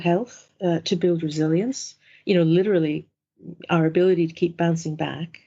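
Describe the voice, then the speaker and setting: A woman speaks with an American accent. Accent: American, coming through. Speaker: mindfulness instructor and organisational development adviser. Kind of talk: interview. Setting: working from home.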